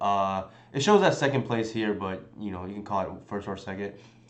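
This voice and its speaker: There is audible room echo as a man talks with ordinary pitch variation. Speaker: game streamer. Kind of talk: live stream commentary. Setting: live stream. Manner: halting.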